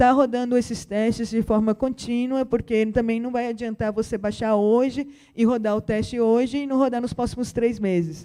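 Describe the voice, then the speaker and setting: Speech at a moderate pace with hardly any pauses comes through in a very clean recording with a silent background. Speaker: conference speaker. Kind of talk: lecture.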